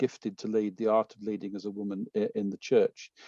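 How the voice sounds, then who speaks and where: The dark, mellow tone of a man with a British accent comes through with a dry, close sound and no echo. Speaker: conference organizer. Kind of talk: speaker introduction. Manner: halting, many fillers.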